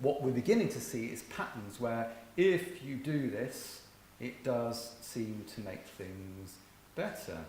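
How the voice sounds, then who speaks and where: A man with an English accent speaks at a medium pitch, with noticeable background noise and audible room echo. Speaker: virtual school head, conference speaker. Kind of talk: conference talk.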